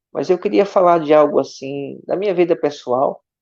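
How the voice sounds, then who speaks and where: His intonation is lively, and his pace moderate. The man's tone sounds mellow and dark. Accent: strong northeastern Brazilian. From Brazilian Northeast, Aracaju. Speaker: missionary pastor. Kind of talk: testimony in online church live stream. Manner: warm, conversational.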